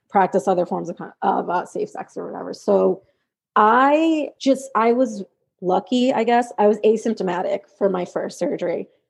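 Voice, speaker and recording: Against a quiet background, a woman has an unremarkable speaking voice at fairly high pitch. She goes at a moderate pace with ordinary pitch variation. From New York. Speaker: special education teaching assistant and grad student. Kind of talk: casual interview chat.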